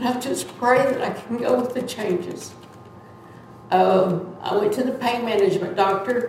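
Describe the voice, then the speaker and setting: A woman talks at a moderate pace with a fairly high pitch and fairly even intonation. Noticeable background noise is present. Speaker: church member giving testimony. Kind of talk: testimony. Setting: church. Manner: loud; halting.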